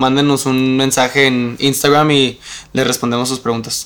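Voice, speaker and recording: Bright and sharp in tone, a man speaks at medium pitch in a Mexican accent with monotone, flat intonation. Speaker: podcast co-host. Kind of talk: scripted outro; casual chat.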